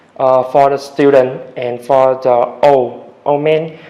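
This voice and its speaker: Very slow, monotone, flat speech from a man with a fairly high pitch, over noticeable background noise. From Vietnam, Da Nang. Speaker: English learner, test candidate. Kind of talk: speaking exam interview. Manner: halting, many hesitations.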